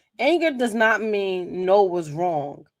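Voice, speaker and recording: Animated in tone, a woman talks at a moderate pace and a medium pitch. The recording is very clean with a silent background. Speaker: motivational vlogger. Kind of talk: motivational talk to camera.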